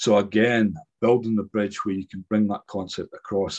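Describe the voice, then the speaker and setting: Against a quiet background, a man talks at a very fast pace, the sound dry and close with no echo. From Scotland, Buchan (north-east). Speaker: IT executive and digital transformation specialist. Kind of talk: online talk to a business audience.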